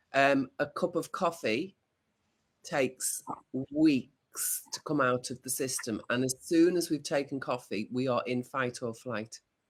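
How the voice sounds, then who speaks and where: A man with a plain, everyday voice speaks at a fairly slow pace, fairly high in pitch with ordinary pitch variation. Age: 60s. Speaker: video podcast co-host. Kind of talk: casual chat.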